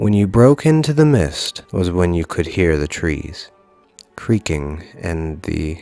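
Music plays in the background as a man speaks at a very slow pace. His pitch is very deep and low, and the sound is dry, with no echo. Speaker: story narrator. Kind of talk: dramatic story reading.

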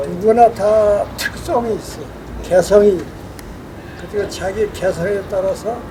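Against noticeable background noise, a man with a high voice speaks at a very slow pace, with fairly even intonation and long, frequent pauses. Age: 80s+. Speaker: retired school principal, tennis player. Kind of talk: interview answer.

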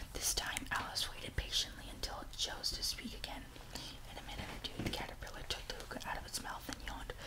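Loud background noise surrounds a man talking fairly quickly. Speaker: reader. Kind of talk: audiobook reading. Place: home room. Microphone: studio mic.

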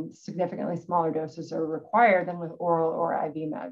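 The speaker is a woman with a fairly low pitch. She talks at a fairly quick pace. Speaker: neurosurgeon giving a lecture. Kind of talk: technical medical lecture. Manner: fast talker.

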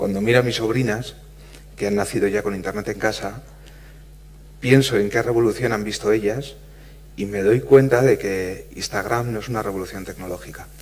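There are long, frequent pauses as a man speaks at a moderate pace. His voice is fairly low with fairly even intonation. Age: 40s. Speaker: physicist and panel moderator; panel moderator. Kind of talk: panel moderation. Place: hall.

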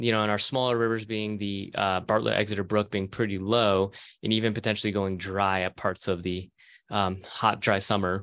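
A man speaks at a moderate pace in a fairly low, flat monotone against a quiet background. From California. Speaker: professor. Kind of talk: lecture. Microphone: video call.

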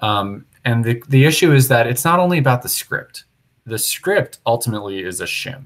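Over a quiet background, a man speaks at a moderate pace, somewhat breathy, with lively intonation. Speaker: software developer leading a planning meeting. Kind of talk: technical meeting discussion. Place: home room. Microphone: earbuds.

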